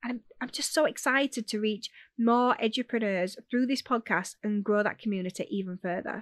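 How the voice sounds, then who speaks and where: A woman with a Yorkshire accent, ordinary pitch variation, a dry, close sound with no echo and a quiet background. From Yorkshire, northern England. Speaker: podcast host, education business owner. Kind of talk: podcast monologue. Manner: direct, to the point.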